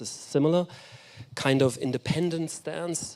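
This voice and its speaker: There is a man speaking in a German accent. His intonation is fairly even. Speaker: architecture critic and lecturer. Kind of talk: lecture. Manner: halting, many fillers and restarts.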